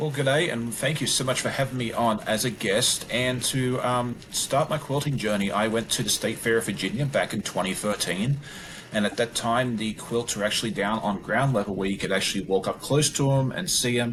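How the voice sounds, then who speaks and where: Speaking at a moderate pace with an Australian accent, a man talks at a medium pitch with ordinary pitch variation amid noticeable background noise. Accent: Australian, largely retained. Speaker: quilter and quilting YouTuber. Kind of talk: podcast interview.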